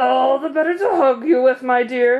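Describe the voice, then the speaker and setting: A put-on character voice sits at a high pitch. It moves at a moderate pace. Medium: read story.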